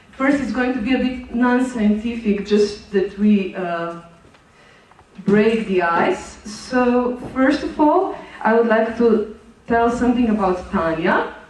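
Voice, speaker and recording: Through noticeable background noise and audible room echo, a woman speaks very slowly at a fairly high pitch. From Slovenia. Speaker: conference presenter. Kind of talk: conference presentation. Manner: halting, many fillers.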